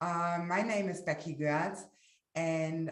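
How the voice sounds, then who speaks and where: The speaker has a German accent, with audible room echo. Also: woman. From Germany. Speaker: webinar presenter. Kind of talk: live webinar presentation. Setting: livestream. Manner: halting, many fillers.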